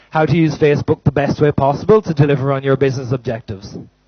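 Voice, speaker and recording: This is a man speaking. He has an Irish accent. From Ireland. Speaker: company manager, conference speaker. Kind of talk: conference talk. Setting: stage with audience. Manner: loud.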